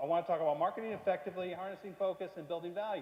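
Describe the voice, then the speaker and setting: The speech runs at a very fast pace, with noticeable background noise behind it. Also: man. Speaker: keynote speaker and business coach. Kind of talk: seminar talk.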